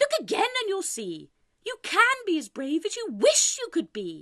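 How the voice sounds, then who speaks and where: A woman puts on a squeaky character voice, raised and projected, at an extremely high pitch. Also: moderate pace. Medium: read story. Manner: warm, beaming.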